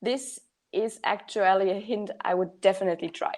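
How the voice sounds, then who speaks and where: A woman with a non-native accent, fairly high pitch, ordinary pitch variation and a moderate pace. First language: not English. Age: 20s. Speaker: project management worker. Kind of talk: panel discussion. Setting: online webinar. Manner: hesitant, many fillers.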